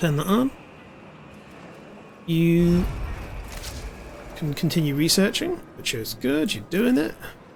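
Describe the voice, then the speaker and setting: With a British accent, a man speaks at a fairly slow pace in a high pitch, making very wide pitch swings and long, frequent pauses. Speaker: video game streamer. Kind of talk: live gaming stream commentary. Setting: live stream. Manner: casual, thinking aloud.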